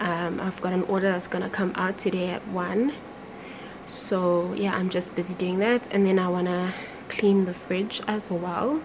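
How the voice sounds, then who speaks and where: Against noticeable background noise, a woman talks with fairly even intonation. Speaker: vlogger. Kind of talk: casual vlog chat. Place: home room. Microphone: phone near.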